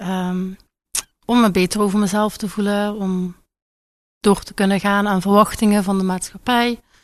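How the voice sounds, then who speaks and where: Delivery is monotone and flat at a moderate pace, with long, frequent pauses and big swings in loudness. The speaker talks with a Limburg accent. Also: woman, medium pitch for a woman. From Limburg, Netherlands. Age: 20s. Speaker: patient in treatment. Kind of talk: radio interview.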